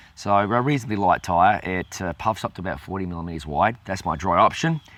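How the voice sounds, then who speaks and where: A man with an Australian accent, very deep and low in pitch, at a moderate pace. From South Australia, Adelaide. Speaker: cycling channel host. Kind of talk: Q&A video show. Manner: hesitant, many fillers.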